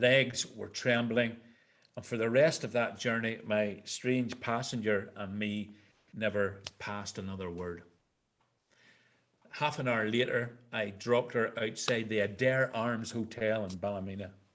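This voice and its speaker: A man speaks at a fairly slow pace with a Northern Irish accent. His pitch is medium and his intonation fairly even. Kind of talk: personal storytelling to a live audience.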